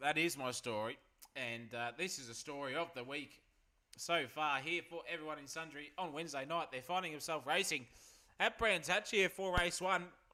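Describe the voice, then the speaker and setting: A man's fairly high, bright and sharp voice, animated in tone, at a moderate pace with ordinary pitch variation. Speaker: sim racing commentator. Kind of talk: live commentary.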